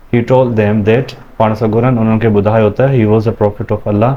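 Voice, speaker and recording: Noticeable background noise surrounds a man speaking with fairly even intonation. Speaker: teacher. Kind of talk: classroom lesson reading with translation. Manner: calm.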